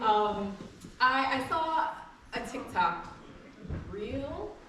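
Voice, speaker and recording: A woman's raised, projected voice, high in pitch with very wide pitch swings, at a very slow pace amid noticeable background noise and audible room echo. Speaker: keynote speaker, scholar and educator. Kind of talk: keynote speech. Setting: stage with audience.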